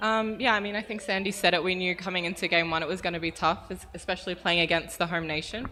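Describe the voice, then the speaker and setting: Talking at a very fast pace with hardly any pauses, a woman with an Australian accent keeps a medium pitch and fairly even intonation. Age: young. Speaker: professional basketball player. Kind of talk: press conference answers. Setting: press conference room.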